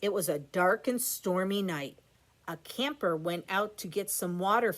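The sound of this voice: The speaker reads in an unforced voice whose pitch varies an ordinary amount.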